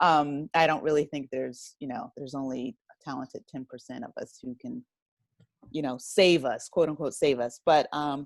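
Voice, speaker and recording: With an American accent, a woman speaks at a moderate pace in a very deep, low pitch, her loudness swinging widely. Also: lively intonation. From South Jersey, US. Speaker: writer and audio drama producer. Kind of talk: interview.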